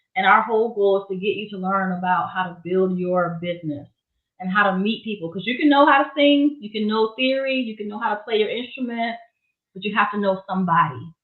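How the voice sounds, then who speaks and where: Very fast speech in a Southern US accent. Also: woman, big swings in loudness. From Florida, Miami. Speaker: gospel singer and songwriter, music business educator. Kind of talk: interview.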